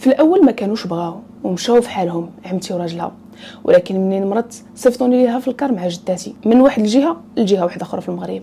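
Against light background noise, a woman talks at a very fast pace, somewhat breathy, with a dark, mellow tone and lively intonation. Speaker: storyteller. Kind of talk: storytime narration. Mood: earnest, personal. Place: home room. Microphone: lapel.

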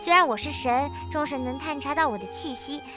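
A high-pitched, put-on character voice from a woman, over loud background music. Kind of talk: game dialogue read aloud. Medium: virtual streamer. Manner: calm, gentle, explaining.

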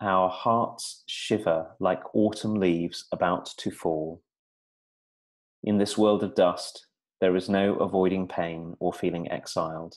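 Against a quiet background, a man with a very deep, low pitch talks at a fairly slow pace with fairly even intonation. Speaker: podcast co-host. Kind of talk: poetry reading. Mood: calm, reflective. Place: home room. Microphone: earbuds.

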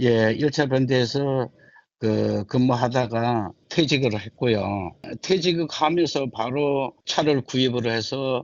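A man at a very slow pace, medium pitch and ordinary pitch variation. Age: 60s. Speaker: retired shipyard worker, taxi driver. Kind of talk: interview. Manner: halting.

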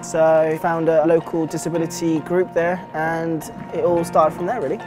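Over clear music in the background, a man speaks at a moderate pace. His pitch is high and his intonation is monotone and flat. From Britain. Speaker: wheelchair tennis player. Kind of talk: interview answer. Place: hall. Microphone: lapel.

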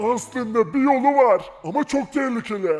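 In a put-on character voice, a man sounds gruff at an extremely high pitch, talking at a moderate pace. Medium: machinima. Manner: gruff, rustic.

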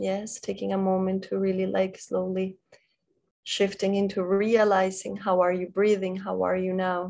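The voice is calm, dark and mellow, with monotone, flat intonation. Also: woman. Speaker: meditation guide. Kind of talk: guided meditation. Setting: video call. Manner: slow, calm, gently paced with pauses; soft-spoken, soothing, instructing in a hushed tone. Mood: calm, soft, slow. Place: home room. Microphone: video call.

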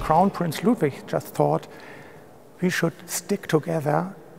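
Over music in the background, a man talks at a fairly slow pace with ordinary pitch variation. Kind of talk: interview answer. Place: hall. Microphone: lapel.

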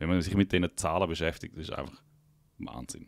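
A man speaks at a fairly quick pace in a very deep, low pitch with vocal fry. His pitch varies in an ordinary way, and the background is quiet. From Liechtenstein. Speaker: podcast host. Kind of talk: casual chat. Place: studio. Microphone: studio mic.

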